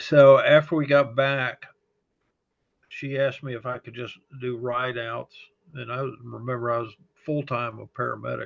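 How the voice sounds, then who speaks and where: The voice carries a slight Texas accent. Its loudness swings widely. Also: man. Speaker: fire service chaplain. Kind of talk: interview testimony. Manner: halting, many fillers.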